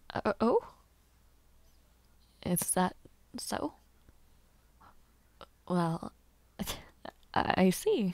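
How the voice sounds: Putting on a character voice, a woman speaks very slowly with a fairly low pitch, a slightly mellow tone, big pitch swings and long, frequent pauses.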